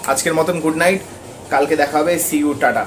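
This voice belongs to a man. Faint noise sits behind him. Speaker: gym trainer vlogger. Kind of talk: casual vlog chat. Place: home room. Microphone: lapel.

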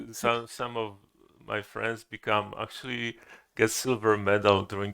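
The voice moves at a very slow pace with long, frequent pauses, flat monotone intonation and big swings in loudness. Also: man. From Poland. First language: Polish (speaking Korean). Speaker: Zen teacher. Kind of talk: dharma talk. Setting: temple hall with audience. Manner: halting.

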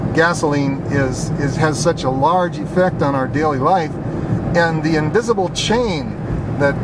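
Over loud background noise, a man talks with a dry, echo-free sound. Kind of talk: casual commentary while driving. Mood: indignant, persuasive. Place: car. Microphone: camera far.

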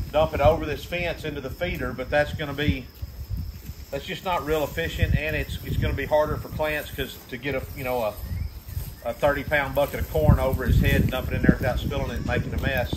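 Noticeable background noise sits behind a man speaking at a very fast pace. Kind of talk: casual vlog explanation. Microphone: camera far.

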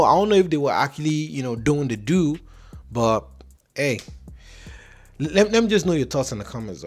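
A man speaks fairly quickly while music plays faintly behind him. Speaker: reaction video host. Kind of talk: casual commentary. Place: home room. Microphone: handheld.

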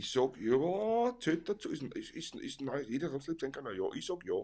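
A man speaks with vocal fry. His pitch is fairly high. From Vienna, Austria; Austria. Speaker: Viennese folk musician, livestream co-host; livestream co-host. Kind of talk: casual chat. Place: home room. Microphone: studio mic.

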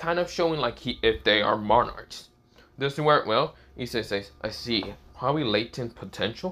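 The text is simply read out loud, with lively intonation throughout.

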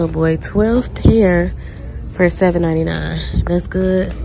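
Clear music plays behind a woman with a very deep, low pitch. The sound is dry with no echo. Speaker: shopping vlogger. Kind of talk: casual vlog chat. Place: shop. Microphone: phone near.

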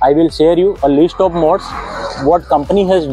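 Faint music plays in the background as a man talks at a fairly quick pace. The sound is dry, with no echo. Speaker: motorcycle reviewer. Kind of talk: casual vlog review. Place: street. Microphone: phone near.

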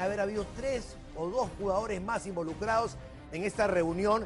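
A man talks at a moderate pace. Clear music plays in the background. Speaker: TV presenter. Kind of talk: news commentary. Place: studio. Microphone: lapel.

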